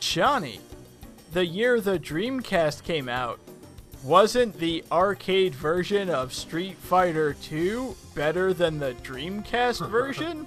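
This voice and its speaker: A man's put-on, robotic character voice, high-pitched and very slow, with clear music in the background. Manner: flat, mechanical.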